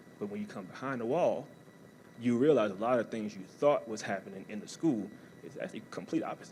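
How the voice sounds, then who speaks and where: A man with an American accent at a medium pitch, very fast, with ordinary pitch variation, big swings in loudness and audible room echo. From US South, New Orleans, Louisiana. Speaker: college athletics staff, former athlete and army veteran. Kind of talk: motivational talk. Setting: stage with audience.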